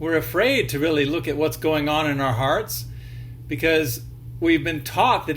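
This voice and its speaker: A man talks at a moderate pace, and room echo can be heard around him. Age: 60s. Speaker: video blogger. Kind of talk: casual monologue. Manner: hesitant, with frequent fillers.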